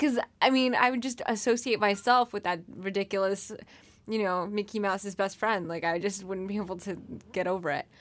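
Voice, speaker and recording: The pitch moves in an ordinary way, in an unremarkable speaking voice. The recording is very clean, with a silent background. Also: woman, medium pitch for a woman. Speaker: podcast host. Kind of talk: casual chat.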